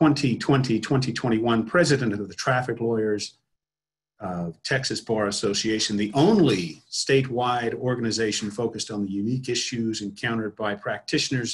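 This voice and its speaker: The voice is somewhat breathy, with ordinary pitch variation and a moderate pace. The background is quiet. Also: man. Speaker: association president hosting webinar. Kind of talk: formal opening announcement. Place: home room. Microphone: webcam.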